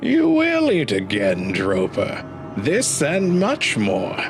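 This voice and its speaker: A man uses a put-on character voice at a very slow pace. Loud background noise is heard. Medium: read story. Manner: commanding, booming.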